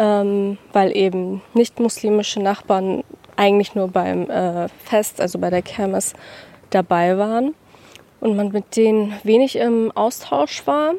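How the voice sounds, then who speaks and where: A woman speaks at a fairly slow pace in a plain, everyday voice, with medium pitch and ordinary pitch variation. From Hamburg-Wilhelmsburg, Germany. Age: 20s. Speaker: university student, local neighbourhood guide. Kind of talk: interview on a walk. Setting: outdoors on a neighbourhood walk.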